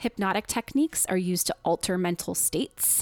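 In a plain, everyday voice, a woman speaks at a medium pitch and a moderate pace, with a dry, close sound and no echo. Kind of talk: casual conversational podcast discussion.

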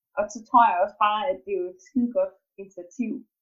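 The woman speaks at a moderate pace. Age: 20s. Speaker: student and fitness trainer, family member of mentally ill person. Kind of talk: casual interview. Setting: video call from home kitchen. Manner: hesitant, many filler sounds.

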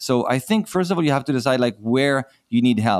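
A man talks at a fairly quick pace with an Israeli accent. The sound is dry and close, with no echo. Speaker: virtual assistant agency founder. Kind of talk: casual interview. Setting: video call.

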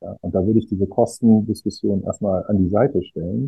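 This man's pitch sits fairly low. His pitch varies an ordinary amount. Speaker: management consultant. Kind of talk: interview. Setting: remote interview over the internet. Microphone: poor audio quality from internet recording.

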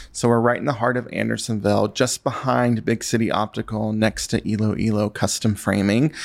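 The speaker talks at a fairly quick pace in an American accent, with hardly any pauses. Intonation is monotone and flat, and loudness stays very even. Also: man, fairly low pitch for a man. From US South, western North Carolina. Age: 30s. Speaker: stationery shop owner. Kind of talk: casual interview.

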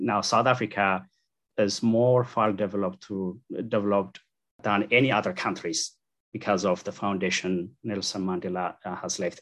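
With an Ethiopian accent, a man speaks at a fairly low pitch and a moderate pace, with ordinary pitch variation. The background is quiet. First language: Amharic. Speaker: engineer and church translator. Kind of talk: interview.

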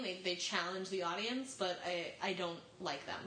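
The voice has lively intonation, with audible room echo and noticeable background noise. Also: woman. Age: 20s. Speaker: podcast panelist. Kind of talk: casual chat.

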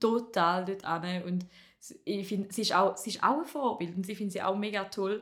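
Her medium-pitched voice moves at a moderate pace, and this woman's pitch varies in an ordinary way. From Appenzell Ausserrhoden, eastern Switzerland. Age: 20s. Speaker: comedian. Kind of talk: casual chat.

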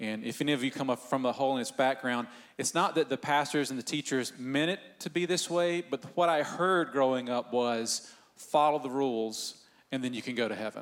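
A man in a Southern US accent, medium in pitch, at a fairly quick pace. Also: ordinary pitch variation. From US South, Northeast Georgia. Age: 40s. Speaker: church pastor. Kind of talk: church panel discussion. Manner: animated.

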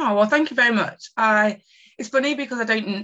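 A woman with an East Midlands accent, at a fairly quick pace and with ordinary pitch variation. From England, Nottingham. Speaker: marketing strategist. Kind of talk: interview.

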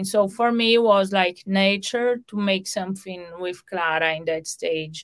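A woman with a Portuguese accent, medium pitch, and a fairly slow pace. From Brazil. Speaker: mother and manager of a young artist. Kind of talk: interview.

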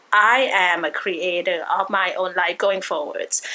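This woman has an ordinary speaking voice. Her pitch is medium, with ordinary variation. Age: 40s. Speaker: spiritual reader. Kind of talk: interview.

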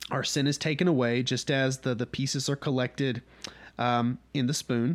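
A man talks in a Southern US accent. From North Georgia, US South. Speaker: podcast host leading a Bible study. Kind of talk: Bible study teaching, casual. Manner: casual, conversational, humorous.

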